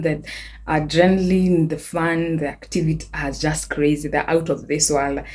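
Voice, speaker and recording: A woman talks with a fairly low pitch. Her voice is somewhat breathy. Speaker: vlogger. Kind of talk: casual vlog chat. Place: home room. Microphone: phone near.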